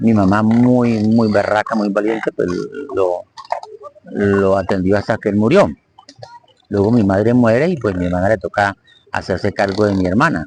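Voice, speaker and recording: A man speaks at a moderate pace in a fairly low voice with ordinary pitch variation. Long, frequent pauses break up his speech, and the sound is dry and close with no echo. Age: 60s. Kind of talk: live-stream talk on psychology and faith.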